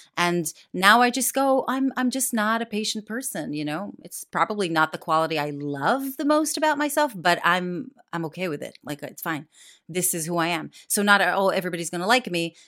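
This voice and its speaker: With an American accent, a woman speaks at a fairly quick pace in a medium pitch, using very wide pitch swings and a bright, sharp tone. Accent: American-sounding English. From Israel. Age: 40s. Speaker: actress and comedian. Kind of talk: casual chat. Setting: remote interview from northwest London.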